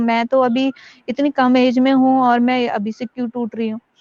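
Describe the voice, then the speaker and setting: A woman with a normal speaking voice talks at a moderate pace and fairly high pitch, with fairly even intonation, in a dry, close sound with no echo. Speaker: acid attack survivor and social activist. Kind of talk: interview testimony.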